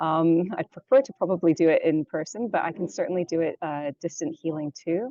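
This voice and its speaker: With a Canadian accent, a woman with a fairly low pitch talks at a fairly quick pace and lively intonation, hardly pausing at all. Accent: Canadian-sounding. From London, England. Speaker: yoga teacher and energy healer. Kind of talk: interview.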